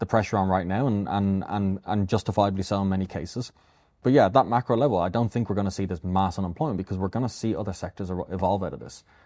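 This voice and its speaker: A man with an Irish accent speaks very fast at a fairly low pitch, with fairly even intonation and a dark, mellow tone. The sound is dry and close with no echo, over a quiet background. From Ireland, Dublin. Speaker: AI company founder. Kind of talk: interview. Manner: repetitive, many restarts.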